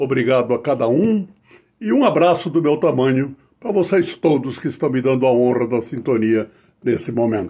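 A man's dark, mellow voice sits at a medium pitch with lively intonation. He talks at a moderate pace against a quiet background. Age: old. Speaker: writer and local historian. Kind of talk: formal acceptance speech. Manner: formal. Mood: warm, ceremonial, proud. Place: home room. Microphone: webcam.

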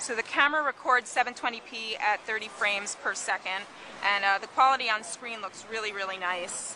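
At a moderate pace, a woman speaks with fairly even intonation, the sound dry with no echo and light background noise present. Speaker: tech reviewer. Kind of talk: product demo commentary. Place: cafe. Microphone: phone near.

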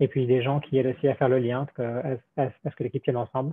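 A man's fairly high voice at a very fast pace, dry with no echo, over a quiet background. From France. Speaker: robotics engineer; presenter. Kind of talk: technical presentation. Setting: video call. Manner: halting, many repetitions. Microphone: video call.

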